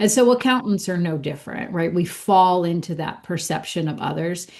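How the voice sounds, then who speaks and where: In an American accent, a woman with an unremarkable speaking voice and a fairly low pitch talks at a moderate pace with ordinary pitch variation. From Pittsburgh, US. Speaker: accountant and business school director. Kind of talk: podcast interview.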